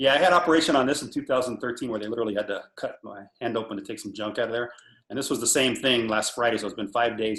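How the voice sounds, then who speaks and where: This man talks at a very fast pace, his pitch medium and its variation ordinary. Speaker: drum corps percussion instructor. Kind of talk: video call interview with drumming tutorial.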